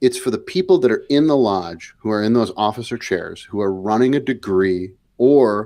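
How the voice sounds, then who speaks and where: A man speaks at a moderate pace with lively intonation, his pitch medium. He has a Wisconsin accent, and the recording is very clean with a silent background. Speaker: podcast co-host. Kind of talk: heated discussion. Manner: animated.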